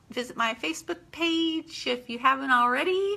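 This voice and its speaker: Her voice is raised and projected, high in pitch, with very wide pitch swings. The woman speaks at a fairly slow pace. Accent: slight country. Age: 50s. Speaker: home business owner. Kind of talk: live stream monologue. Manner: halting, with fillers; animated.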